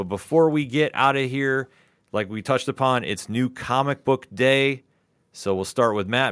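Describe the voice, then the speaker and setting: Recorded very cleanly against a silent background, the dry, close sound with no echo carries a man with a normal speaking voice, medium pitch, ordinary pitch variation and a moderate pace. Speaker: comic book club host. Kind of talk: casual chat. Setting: live YouTube stream.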